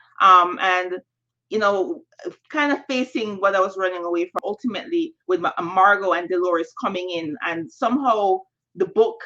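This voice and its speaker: With a Jamaican accent, a woman talks at a moderate pace in a bright, sharp tone, her medium pitch showing ordinary variation. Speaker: novelist. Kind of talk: panel Q&A answer. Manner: halting, many fillers.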